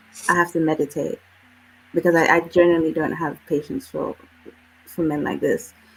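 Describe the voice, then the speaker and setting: Over music in the background, a woman with a fairly low pitch and ordinary pitch variation talks at a fairly quick pace but with long, frequent pauses. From UK. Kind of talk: heated debate.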